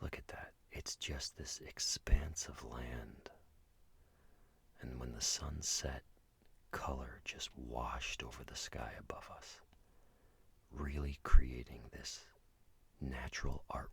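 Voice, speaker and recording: A man whispers at a very slow pace, with big swings in loudness and long, frequent pauses. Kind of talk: ASMR road trip narration. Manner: soft-spoken, whispered, relaxing.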